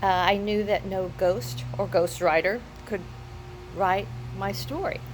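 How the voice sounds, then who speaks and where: The speech moves at a fairly slow pace. Audible room echo and noticeable background noise surround it. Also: woman. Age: 60s. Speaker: first-time memoir author. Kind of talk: personal testimonial. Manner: halting, with repetitions.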